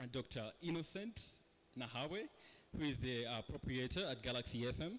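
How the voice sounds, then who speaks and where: A man with a Ugandan accent keeps his loudness very even while his pitch varies in an ordinary way. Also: medium pitch for a man, moderate pace. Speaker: panel moderator. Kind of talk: panel moderation.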